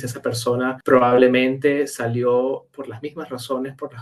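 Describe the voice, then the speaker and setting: A man with a Caracas accent and a medium pitch speaks at a moderate pace. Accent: Venezuelan (Caracas). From Caracas, Venezuela. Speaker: meteorologist. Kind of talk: interview answer.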